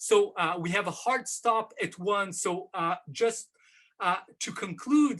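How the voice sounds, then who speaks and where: Raising and projecting his voice, a man talks fairly slowly with lively intonation and a bright, sharp tone. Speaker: professor. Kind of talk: academic seminar talk. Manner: hesitant, many fillers.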